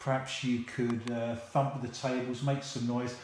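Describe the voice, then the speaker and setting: A man with a London accent talks at a moderate pace in a monotone, flat intonation. Noticeable background noise sits behind him. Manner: playful, mock-teacher tone.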